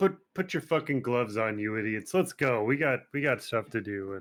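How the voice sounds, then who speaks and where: A gruff, put-on character voice from a man, medium in pitch, with lively intonation at a moderate pace. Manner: gruff, commanding.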